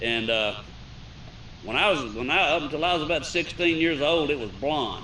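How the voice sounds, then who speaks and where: The man's voice is fairly high in pitch, with ordinary pitch variation and a moderate pace. Audible room echo and noticeable background noise surround him. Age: 60s. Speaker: talk show panelist. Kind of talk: casual chat.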